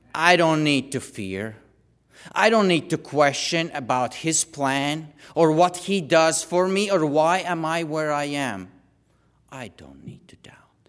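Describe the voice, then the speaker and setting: The recording is very clean, with a silent background. A man with a fairly high pitch speaks at a fairly slow pace, using lively intonation and big swings in loudness. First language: not English. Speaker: lay preacher. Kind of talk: sermon. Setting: church. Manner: halting.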